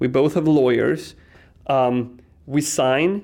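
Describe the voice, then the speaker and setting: The speaker talks with a Swedish accent. Pitch varies in an ordinary way. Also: man. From Sweden. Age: 40s. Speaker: tech company CEO. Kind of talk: casual interview. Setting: conference venue.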